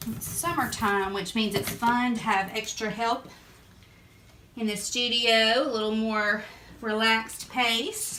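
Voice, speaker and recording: Fairly high pitch from a woman with a strong Southern US accent, fairly even intonation and a fairly slow pace, plus noticeable background noise. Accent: thick Southern US. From Southern United States. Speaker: printmaker. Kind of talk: casual talk to camera.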